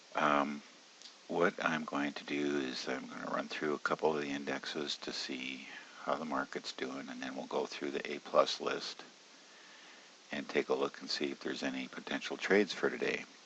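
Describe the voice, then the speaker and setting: Quiet speech at a moderate pace. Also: man. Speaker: options trading educator. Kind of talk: screen-share tutorial. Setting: at home, early morning. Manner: quiet, subdued.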